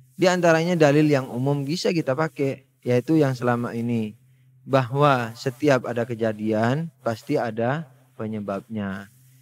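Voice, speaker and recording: A man's voice sits at medium pitch, shows ordinary pitch variation and moves at a moderate pace. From Madura, Indonesia. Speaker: Islamic religious teacher. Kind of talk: religious lecture. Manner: conversational, with filler hesitations.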